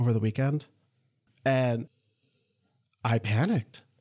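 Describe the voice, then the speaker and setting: A man speaks at a medium pitch with an American accent. His intonation stays fairly even, and his voice is somewhat breathy. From Upper Peninsula, Michigan. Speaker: college board chair, lawyer. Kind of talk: interview.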